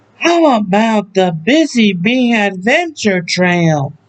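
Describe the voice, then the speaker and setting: A man's put-on character voice, high-pitched and very slow, with very wide pitch swings. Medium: read story. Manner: gentle, patient.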